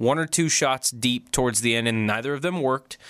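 A man with a normal speaking voice and a medium pitch talks at a moderate pace. The recording is very clean, with a silent background. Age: 20s. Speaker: sports radio co-host. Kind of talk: casual sports talk.

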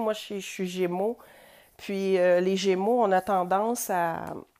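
A woman's medium-pitched voice with a Quebec accent, very slow pace and fairly even intonation, on a very clean recording with a silent background. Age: 40s. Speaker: podcast host. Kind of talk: personal monologue. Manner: hesitant.

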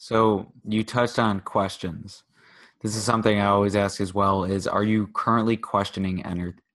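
A man's fairly low voice moves at a moderate pace. His intonation is monotone and flat. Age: 20s. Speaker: podcast host. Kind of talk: casual interview.

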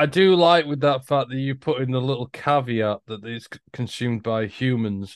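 A man with an English accent at a medium pitch, moderate pace and ordinary pitch variation. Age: 40s. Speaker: podcast co-host. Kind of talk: casual chat.

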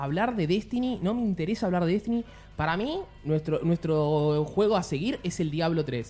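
A man at a high pitch and moderate pace, with lively intonation. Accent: Rioplatense. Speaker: podcast host. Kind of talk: casual chat.

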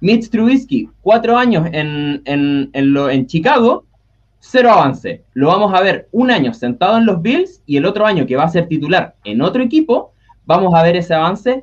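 Pitched high, a man's voice moves through very wide pitch swings. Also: moderate pace. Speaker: NFL fan panelist. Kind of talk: casual chat.

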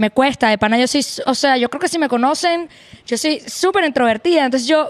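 With a Venezuelan accent, a woman talks at a fairly quick pace, her high pitch moving with lively intonation. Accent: Venezuelan Spanish, retained. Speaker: guest. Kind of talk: casual chat.

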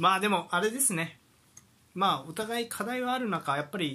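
With a Kansai accent, a man speaks very fast in a bright, sharp tone. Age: 30s. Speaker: football podcast co-host. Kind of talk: casual chat. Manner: many fillers and hesitations.

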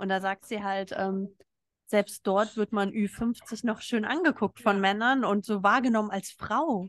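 With a plain, everyday voice at a medium pitch, a woman talks at a fairly slow pace and with fairly even intonation, the sound dry and close with no echo against a quiet background. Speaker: podcast host. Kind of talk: casual chat. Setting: live recording in a restaurant in Berlin. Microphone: not studio sound quality.

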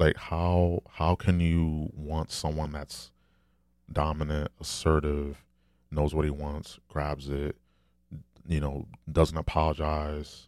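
In a very clean recording with a silent background, a man talks in a very deep, low pitch with monotone, flat intonation. He goes at a very slow pace with long, frequent pauses. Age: 30s. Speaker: podcaster and streamer. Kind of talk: solo monologue podcast. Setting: recording alone, long session.

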